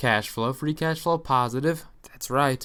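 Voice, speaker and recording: A man with a bright, sharp tone and fairly even intonation at a fairly quick pace, on a very clean recording with a silent background. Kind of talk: casual financial commentary.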